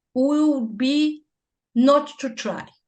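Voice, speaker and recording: A woman with a Brazilian accent, high-pitched and very slow. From Brazil, north (Belém, Amazon region). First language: Portuguese. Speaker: church musician and hymnologist. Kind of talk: interview. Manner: halting, with many false starts.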